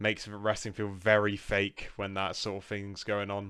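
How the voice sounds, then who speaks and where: Recorded very cleanly against a silent background, a man with a British accent speaks fairly slowly in a fairly low voice with a bright, sharp tone. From UK. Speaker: wrestling reviewer. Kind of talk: casual review monologue. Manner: hesitant, many fillers.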